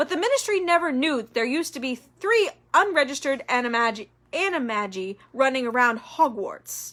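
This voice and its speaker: A woman uses a put-on character voice at high pitch and a fairly quick pace. The recording is very clean, with a silent background. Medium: read story. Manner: calm, measured.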